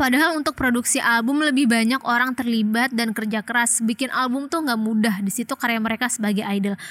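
The speech comes at a very fast pace with very even loudness. Intonation stays fairly even. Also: woman, high pitch for a woman. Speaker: podcast host. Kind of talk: casual chat.

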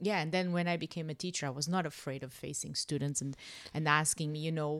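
Very deep, low female pitch with ordinary variation, a woman at a fairly quick pace in a very clean recording over a silent background. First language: not English. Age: 40s. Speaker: teacher. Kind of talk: casual chat. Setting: home studio.

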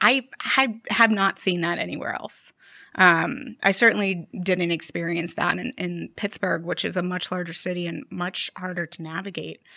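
Over a very clean recording with a silent background, a woman with a fairly low pitch and vocal fry speaks at a moderate pace in a bright, sharp tone, with ordinary pitch variation and a dry, close sound with no echo. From Erie, northwestern Pennsylvania. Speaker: community leader, co-working space manager. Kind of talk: interview.

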